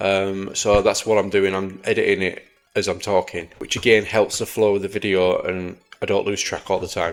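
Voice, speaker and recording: At a moderate pace, the speaker talks with an English accent. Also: man. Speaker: gaming youtuber. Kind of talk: gameplay commentary. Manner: halting.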